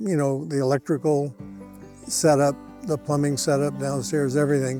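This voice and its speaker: At a moderate pace, a man talks in a fairly high pitch while music plays behind him. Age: 80s+. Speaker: homeowner, construction client. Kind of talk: customer testimonial.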